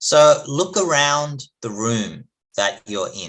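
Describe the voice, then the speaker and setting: A man speaks with an Australian accent in a bright, sharp tone. The background is quiet. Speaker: chemistry professor. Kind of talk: lecture.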